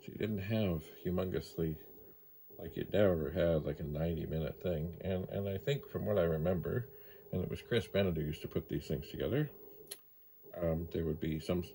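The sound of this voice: A man speaks at a moderate pace in a low pitch. His tone is dark and mellow with a slightly husky edge. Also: ordinary pitch variation.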